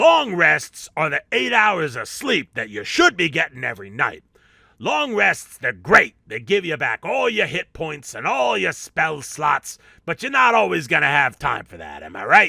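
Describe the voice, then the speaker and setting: A man puts on a character voice. His pitch is fairly high. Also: moderate pace, very clean recording, silent background. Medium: solo performance. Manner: brash, street-talking.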